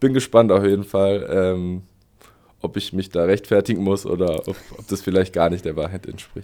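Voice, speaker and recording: A man's dark, mellow voice at a fairly low pitch, with big swings in loudness, fairly even intonation and a moderate pace. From Berlin (Spandau, West Berlin). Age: 30s. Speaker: professional footballer. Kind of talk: interview.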